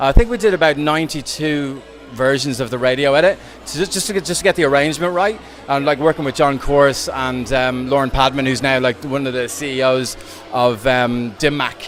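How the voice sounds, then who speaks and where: Over noticeable background noise, a man with an Irish accent speaks fairly quickly in a fairly high pitch with ordinary pitch variation. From Ireland. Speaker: DJ and dance music producer. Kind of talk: interview. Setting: venue interview. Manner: animated.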